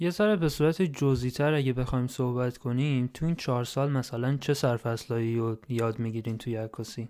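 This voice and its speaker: Hardly pausing, a man with a dark, mellow tone speaks at a fairly quick pace with ordinary pitch variation. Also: medium pitch for a man. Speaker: podcast host. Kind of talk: casual chat.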